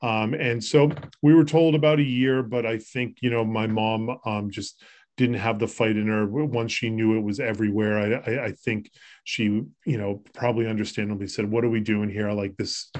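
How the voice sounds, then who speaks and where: A man with an American accent has an unremarkable speaking voice at medium pitch. He keeps a moderate pace and fairly even intonation. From Massachusetts, Boston area. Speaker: podcast host, home care business owner. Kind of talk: casual chat.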